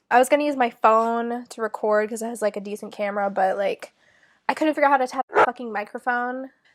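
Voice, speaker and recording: Very fast in pace, a woman speaks at a high pitch with fairly even intonation. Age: 20s. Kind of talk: casual talk to camera. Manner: fast, many filler words.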